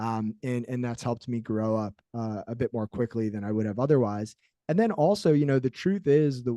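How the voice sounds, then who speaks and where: A dark, mellow voice moves at a fairly quick pace in a dry, close sound with no echo. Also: man. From New Jersey. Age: young. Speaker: motivational speaker, former college football player. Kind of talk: interview.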